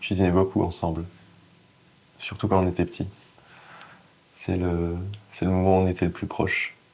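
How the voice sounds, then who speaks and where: The speech comes in a monotone, flat intonation broken by long, frequent pauses. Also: man, very deep, low pitch for a man, moderate pace. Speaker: actor. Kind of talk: acting demo monologue, dramatic performance of a scene. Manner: halting, hesitant with many pauses and restarts, emotional.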